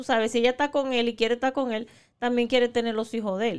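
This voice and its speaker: A woman is speaking. Her pitch is fairly high. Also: very clean recording, silent background. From Dominican Republic. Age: 40s. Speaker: podcast co-host. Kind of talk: casual chat. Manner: animated.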